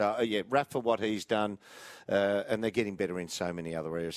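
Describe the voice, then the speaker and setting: Speaking very fast with an Australian accent, a man uses a fairly low pitch with ordinary variation on a very clean recording with a silent background. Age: 50s. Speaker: football pundit. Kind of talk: live commentary. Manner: animated.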